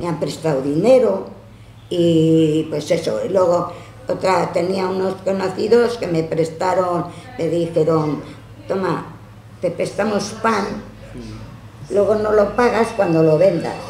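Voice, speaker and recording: Very slow and broken by long, frequent pauses, a woman's fairly low voice moves with ordinary pitch variation, with audible room echo and light background noise. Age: 80s+. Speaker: elderly woman recounting her life. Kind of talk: interview answer. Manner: reminiscing storytelling. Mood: animated, candid storytelling. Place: home room. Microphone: camera far.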